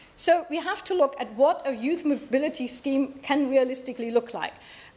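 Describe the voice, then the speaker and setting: A woman with a high voice speaks against noticeable background noise. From Germany. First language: German. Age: 60s. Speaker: politician. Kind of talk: parliamentary debate speech. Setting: parliamentary chamber. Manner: halting, with fillers.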